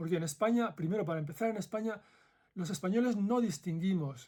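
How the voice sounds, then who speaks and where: A man with a Madrid accent talks with ordinary pitch variation. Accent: Madrid Castilian Spanish. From central Spain (Madrid). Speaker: former ethics professor, video essayist. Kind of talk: commentary monologue.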